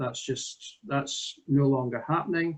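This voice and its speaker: A man with a Scottish accent, somewhat breathy, fairly high in pitch, at a moderate pace with fairly even intonation against a quiet background. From Scotland. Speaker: village hall volunteer administrator. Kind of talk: presentation demo. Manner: hesitant, many fillers. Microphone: video call.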